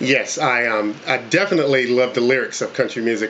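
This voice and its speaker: There is noticeable noise behind a man whose medium-pitched voice keeps a fairly even intonation. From North Carolina (Coats, small town). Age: 40s. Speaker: country singer auditioning. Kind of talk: casting interview. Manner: halting, many fillers.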